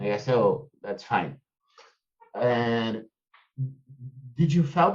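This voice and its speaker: In a Brazilian accent, a man talks at a very slow pace with lively intonation. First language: Portuguese. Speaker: podcast host. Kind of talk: interview conversation. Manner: halting, many fillers.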